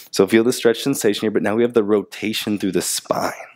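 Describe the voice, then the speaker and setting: In a soothing, gentle tone, a man speaks at a fairly low pitch against a quiet background. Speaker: yoga instructor. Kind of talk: guided movement class, calm instructional cueing. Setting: home or studio, on a mat, video. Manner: slow, soothing, unhurried; gentle, repetitive cues with pauses. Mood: calm, soothing guidance.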